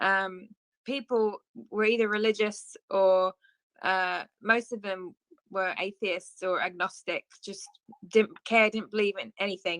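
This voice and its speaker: A woman with an English accent speaks fairly slowly at medium pitch. Her intonation is flat and monotone, and the sound is dry and close with no echo. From southeast England (Ashford, Kent). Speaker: worship leader and entrepreneur. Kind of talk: testimony.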